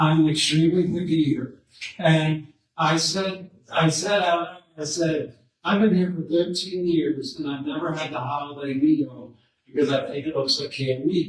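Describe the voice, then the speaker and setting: Speaking at a moderate pace, a man with a fairly high voice keeps his intonation fairly even. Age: 40s. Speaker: school principal at a disciplinary hearing. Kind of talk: testimony. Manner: loud.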